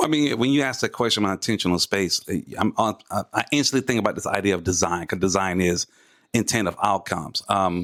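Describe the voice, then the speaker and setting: A man with an American accent and a fairly low pitch talks at a very fast pace with ordinary pitch variation. The recording is very clean with a silent background, and the sound is dry and close with no echo. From Atlanta, US South. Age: 40s. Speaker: podcast co-host, artist and designer. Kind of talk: casual chat.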